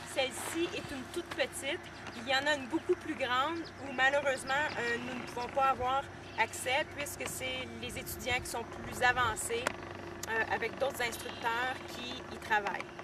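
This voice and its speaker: A woman's high voice at a fairly slow pace, fairly even in intonation, with big swings in loudness and noticeable background noise. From Quebec. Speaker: horse-training student, video blogger. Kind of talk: casual video diary. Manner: hesitant, many filler sounds.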